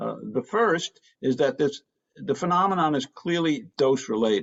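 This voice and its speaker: A man's fairly high voice swings very widely in pitch. Vocal fry comes through. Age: 70s. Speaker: author and Nobel laureate scientist. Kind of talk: book talk to an audience. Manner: hesitant with frequent fillers.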